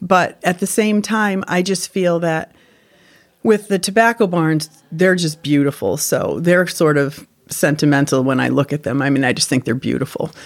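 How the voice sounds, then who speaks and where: With an American accent, a woman talks at a moderate pace in an ordinary speaking voice, her fairly low pitch showing ordinary pitch variation. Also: very clean recording, silent background. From Connecticut. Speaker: former tobacco farm worker. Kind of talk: oral-history interview, reminiscing. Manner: reflective; warm, sentimental.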